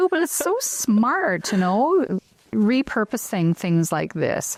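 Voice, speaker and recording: A woman speaks with a Canadian accent at a very slow pace. The sound is dry and close, with no echo. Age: 50s. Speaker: talk show host. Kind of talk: casual chat.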